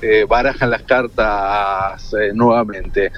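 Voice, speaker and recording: Noticeable background noise sits behind a man speaking with a Rioplatense accent. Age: 30s. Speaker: journalist and film critic. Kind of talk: radio interview. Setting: phone call from a car. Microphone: hands-free phone.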